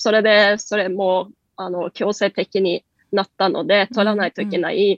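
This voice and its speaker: A woman's medium-pitched voice, monotone and flat, at a fairly slow pace. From Norway. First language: Norwegian (speaking Japanese). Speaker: company country head. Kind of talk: radio interview.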